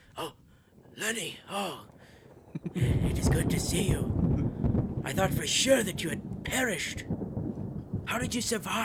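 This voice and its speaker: In a put-on character voice at a middle pitch, the speaker goes at a fairly slow pace with long, frequent pauses. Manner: relieved, grateful.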